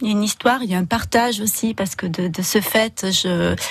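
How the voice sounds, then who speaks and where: Delivery is fairly unhurried, and the pitch rises and falls in an ordinary way. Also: woman. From southern France, Roussillon. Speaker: artist designer. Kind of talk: radio interview. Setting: radio studio. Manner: halting.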